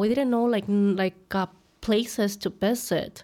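A woman speaks at a medium pitch. She has a Mexican accent. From Mexico. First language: Spanish. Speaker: content creator. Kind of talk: casual interview chat.

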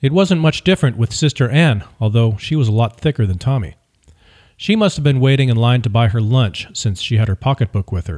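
A man's somewhat breathy, dramatic tone at a medium pitch, with lively intonation and a fairly quick pace, in a dry, close sound with no echo and a very clean recording with a silent background. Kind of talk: literary audiobook reading, third-person memoir narration. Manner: steady, measured storytelling pace with dramatic emphasis.

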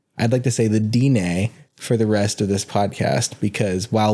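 On a very clean recording with a silent background, a man speaks in a dark, mellow tone at a fairly low pitch with ordinary pitch variation. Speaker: podcast co-host. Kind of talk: casual chat. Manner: awkward, microphone shy.

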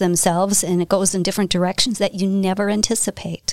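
A woman speaks in a medium pitch with monotone, flat intonation. The sound is dry and close, with no echo. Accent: American. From Wisconsin, US. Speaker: business owner. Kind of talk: interview.

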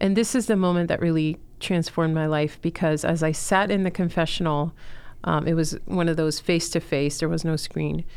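A woman with an American accent speaks at a moderate pace in a fairly low pitch. She has an unremarkable speaking voice. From Miami, Florida (Chilean family). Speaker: school co-founder and mother. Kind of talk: testimony.

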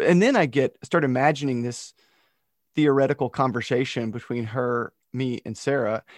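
A man talks at a moderate pace with an ordinary speaking voice and medium pitch. The sound is dry and close with no echo, the background is quiet, and the intonation is fairly even. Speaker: podcast host. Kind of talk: casual chat.

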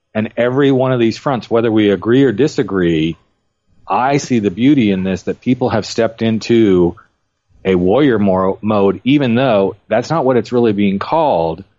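A man's medium-pitched, unremarkable speaking voice, with ordinary pitch variation, very even loudness and a moderate pace. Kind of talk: casual panel discussion.

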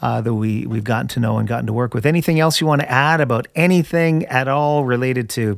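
A man's medium-pitched tones come through in a normal speaking voice. The variation in his pitch is ordinary. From Canada. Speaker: podcast host. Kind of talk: interview.

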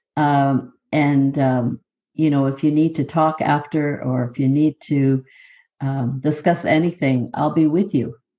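A woman speaks at a fairly slow pace in a very deep, low pitch with a Canadian Prairie accent. Her intonation stays fairly even. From southern Manitoba, Canada (Métis). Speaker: professor. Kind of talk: interview conversation.

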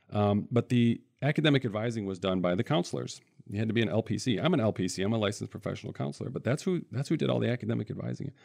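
In a Midwestern US accent, a man with a fairly low pitch and vocal fry talks at a very fast pace with lively intonation. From central Michigan. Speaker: financial aid advisor. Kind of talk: interview. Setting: studio.

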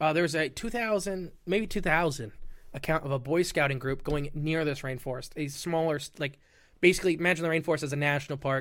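Here a man with an American accent uses a normal speaking voice, fairly high in pitch with ordinary pitch variation, at a fairly quick pace. The recording is very clean, the background silent. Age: 20s. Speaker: podcast guest, cryptid podcaster. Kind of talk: casual chat.

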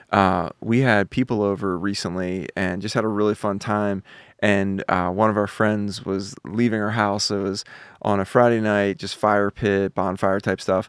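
A man with an American accent speaks at a moderate pace in a fairly low pitch, his intonation monotone and flat, on a very clean recording with a silent background and a dry, close sound with no echo. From Philadelphia, US. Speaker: podcast co-host. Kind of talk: casual chat. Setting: studio.

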